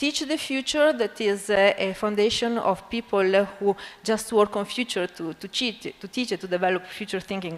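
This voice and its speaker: A woman with an Italian accent speaks at a medium pitch and a fairly quick pace. Her intonation is lively, and noticeable background noise is present. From Italy (Bologna). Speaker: physics education researcher, university academic. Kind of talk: conference lecture. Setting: conference stage with audience. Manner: halting, many fillers.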